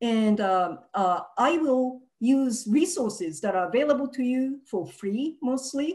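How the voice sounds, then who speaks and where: Against a quiet background, a woman with a Japanese accent talks fairly slowly in a high voice that swings very widely in pitch. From Japan (Nagasaki, Hiroshima). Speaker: activist; speaker. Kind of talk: presentation. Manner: halting, many fillers. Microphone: video call.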